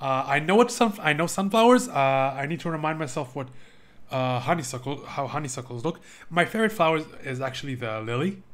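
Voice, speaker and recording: A fairly high-pitched man with lively intonation. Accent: non-native. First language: not English. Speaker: video game streamer. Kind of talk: live game playthrough commentary with reading aloud.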